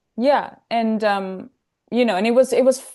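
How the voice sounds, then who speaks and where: A woman speaks with a German accent at a moderate pace. Her pitch is fairly high, with ordinary variation. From Austria, Salzburg. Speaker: film photographer. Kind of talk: casual chat.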